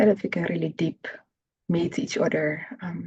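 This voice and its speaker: Vocal fry colors a woman's fairly low-pitched, dark, mellow voice as she talks at a moderate pace. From Netherlands. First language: Dutch. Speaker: therapy practitioner. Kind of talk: interview. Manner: halting.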